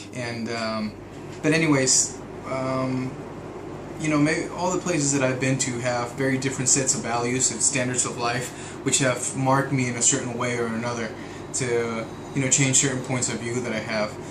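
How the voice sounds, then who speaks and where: Noticeable background noise and audible room echo surround a man at medium pitch. His intonation is fairly even, and his pace is moderate. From Mexico. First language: Spanish. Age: 30s. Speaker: vlogger, oil and gas contractor. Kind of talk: video diary monologue. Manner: hesitant, many fillers.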